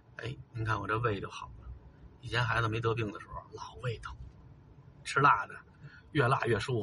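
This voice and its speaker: At a moderate pace, a man speaks with a Beijing accent. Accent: Beijing Mandarin, erhua-heavy. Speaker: video blogger. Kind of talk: casual chat.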